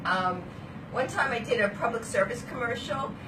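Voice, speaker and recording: Amid noticeable background noise and audible room echo, a woman with a strong Brooklyn accent speaks at fairly high pitch, moderate pace, and ordinary pitch variation. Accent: Brooklyn accent, still strong. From Brooklyn, New York. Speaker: vlogger. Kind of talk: casual chat. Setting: hotel room. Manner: animated.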